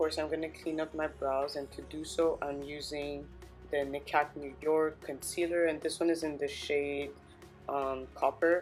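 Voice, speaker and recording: A woman speaks with a very deep, low pitch and monotone, flat intonation at a moderate pace. Music plays in the background. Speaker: beauty vlogger. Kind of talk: makeup tutorial talk to camera.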